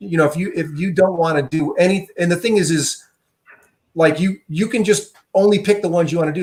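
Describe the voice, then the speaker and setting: A man at a very fast pace, with fairly even intonation. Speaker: software tool developer. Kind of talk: tutorial.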